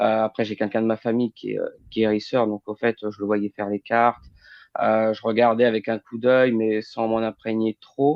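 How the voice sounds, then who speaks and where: A man talks in a flat monotone at medium pitch and a moderate pace. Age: 30s. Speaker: medium and healer. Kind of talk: interview. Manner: hesitant, many fillers.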